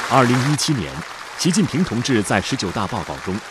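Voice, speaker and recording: A man's pitch swings very widely as crowd noise fills the background. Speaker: documentary narrator. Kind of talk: state documentary narration, solemn scripted voiceover with measured, rhetorical delivery. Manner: formal, stately, steady pace with emphatic rising cadence on slogans.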